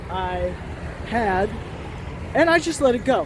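Against noticeable background noise, a woman speaks high in pitch at a fairly slow pace, the sound dry with no echo. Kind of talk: casual vlog chat. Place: street. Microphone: phone near.

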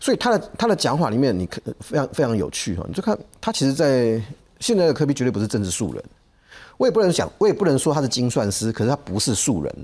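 Very wide pitch swings and vocal fry mark a man's voice as he talks at a very fast pace. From Taiwan, Taichung; Taiwan. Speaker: political commentator. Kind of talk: TV panel discussion. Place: studio. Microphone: lapel.

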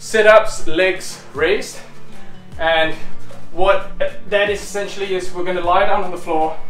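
In a room with audible echo and faint music in the background, a man talks at a fairly slow pace and a high pitch with monotone, flat intonation. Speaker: fitness instructor. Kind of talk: workout tutorial instruction. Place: home room. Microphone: camera far.

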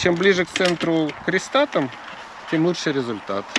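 Amid noticeable background noise, a man speaks in a dry sound with no echo. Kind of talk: interview answer. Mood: friendly, relaxed. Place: open country. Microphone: phone near.

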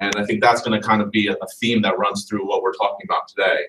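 The background holds light noise. A man rattles along at a very fast pace. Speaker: lawyer presenting a talk. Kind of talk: lecture. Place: classroom. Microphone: camera far.

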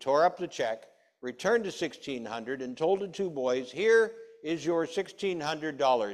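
Male speech over a quiet background. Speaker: preacher. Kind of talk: sermon. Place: church.

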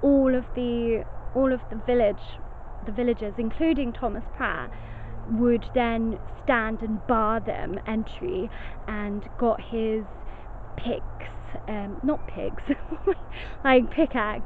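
Very slow, fairly even speech with long, frequent pauses, dry sound with no echo, and light background noise. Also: woman. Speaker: ghost vlogger. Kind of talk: casual vlog chat. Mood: cheerful, laughing. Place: forest. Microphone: phone near.

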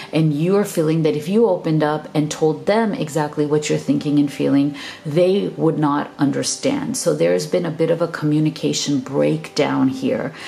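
Over noticeable background noise, a woman with a very deep, low pitch talks at a moderate pace with lively intonation and hardly any pauses. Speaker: tarot reader. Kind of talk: tarot reading to camera. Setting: video channel, recorded alone. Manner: warm, affectionate.

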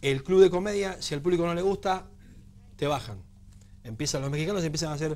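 A man speaks in a Rioplatense accent. His pace is very fast. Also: fairly high pitch for a man, ordinary pitch variation. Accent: Argentine Rioplatense Spanish. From Argentina. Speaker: stand-up comedian. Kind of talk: TV interview. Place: studio. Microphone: lapel.

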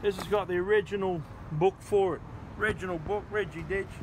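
Over noticeable background noise, a man speaks in a monotone, flat way at a moderate pace and a high pitch. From Australia. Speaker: motorcycle dealer and vlogger. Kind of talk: casual show-and-tell vlog. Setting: outdoors. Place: street.

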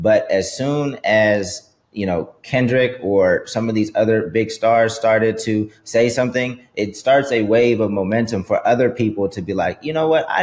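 Talking at a fairly slow pace, a man keeps a medium pitch with ordinary pitch variation. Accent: American. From US West Coast. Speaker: music executive and podcast co-host. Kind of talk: casual chat.

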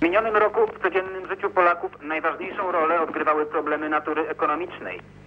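A man speaks very fast with hardly any pauses, his pitch high and his intonation fairly even. Light background noise can be heard. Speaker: TV news correspondent. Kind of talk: news reading of a press article. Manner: formal, even, official-sounding. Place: office.

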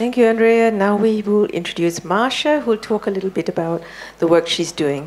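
The speech moves at a fairly quick pace with lively intonation. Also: woman. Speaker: panel moderator. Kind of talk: moderated panel discussion. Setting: stage with audience. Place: hall.

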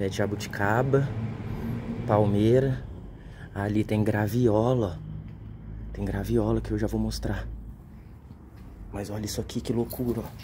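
A man speaks fairly slowly, pausing long and often, with noticeable background noise behind him. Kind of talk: casual vlog chat. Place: garden. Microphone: phone near.

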